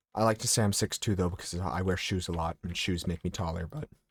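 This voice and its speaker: The sound is dry and close, with no echo. The pace is moderate. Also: man. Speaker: video game streamer. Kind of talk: casual chat.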